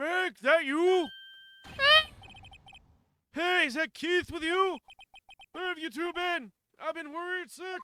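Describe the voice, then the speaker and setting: This put-on character voice sits at an extremely high pitch and moves at a fairly slow pace, with long, frequent pauses. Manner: worried.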